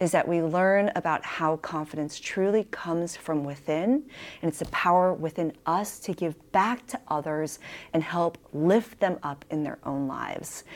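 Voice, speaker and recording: With a plain, everyday voice and an American accent, a woman speaks at a moderate pace and a fairly low pitch, with ordinary pitch variation. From San Diego, California. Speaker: podcast host. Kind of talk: casual chat.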